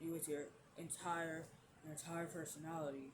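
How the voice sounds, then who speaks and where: Speech at a moderate pace is heard with noticeable background noise behind it. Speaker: vlogger. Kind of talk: casual vlog monologue.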